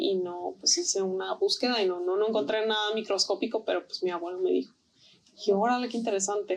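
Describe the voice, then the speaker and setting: Over noticeable background noise, a woman talks at a fairly high pitch. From Tijuana, Mexico. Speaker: artist and textile designer. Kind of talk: interview.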